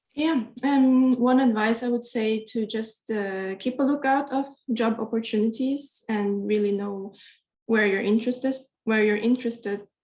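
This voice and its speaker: A woman speaks with fairly even intonation and a somewhat breathy voice. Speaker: PhD student. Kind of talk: panel advice.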